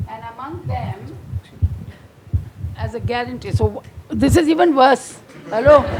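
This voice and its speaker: A woman speaks at a fairly slow pace, with long, frequent pauses and big swings in loudness. Noticeable background noise is present. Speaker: former health official. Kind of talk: panel discussion.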